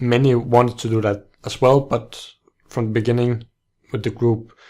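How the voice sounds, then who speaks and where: A man's fairly slow, monotone, flat delivery with a non-native accent. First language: not English. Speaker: book podcaster. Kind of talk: casual book talk monologue. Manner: halting, many restarts and fillers.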